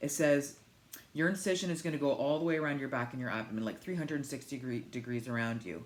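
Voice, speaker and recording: Talking at a very fast pace, a woman keeps ordinary pitch variation. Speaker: vlogger sharing weight-loss surgery journey. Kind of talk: casual vlog talk. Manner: high energy.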